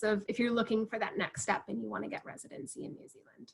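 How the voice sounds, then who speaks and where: A woman talks at a fairly quick pace with vocal fry, her fairly high pitch showing ordinary variation. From United States. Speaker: university representative. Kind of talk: webinar Q&A answer.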